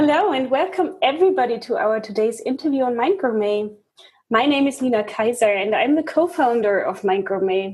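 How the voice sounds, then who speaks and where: Her pitch is high and swings very widely as the woman talks at a fairly quick pace. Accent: German. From Germany. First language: German. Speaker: interview host. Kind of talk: interview.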